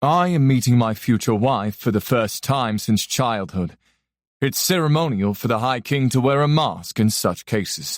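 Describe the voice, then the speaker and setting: Putting on a character voice, a man speaks at a moderate pace with a resonant tone at medium pitch. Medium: read story. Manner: calm, measured, faintly amused.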